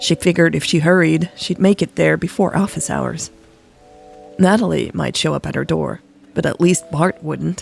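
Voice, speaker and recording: Music plays behind speech delivered at a fairly quick pace. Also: woman. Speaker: podcast story narrator. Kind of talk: romance audio story reading. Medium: read story.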